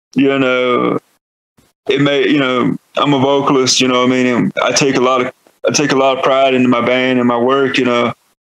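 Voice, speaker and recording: A man at medium pitch with a Southern US accent, fairly quick and monotone, flat in intonation. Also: very even loudness, dry, close sound with no echo. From North Carolina, US South. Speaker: metal band vocalist. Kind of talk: podcast interview. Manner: casual, filler-heavy.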